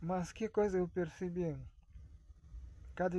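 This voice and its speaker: A man with a Russian accent at a fairly slow pace. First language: Russian (speaking Portuguese). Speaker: vlogger. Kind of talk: casual monologue. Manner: halting.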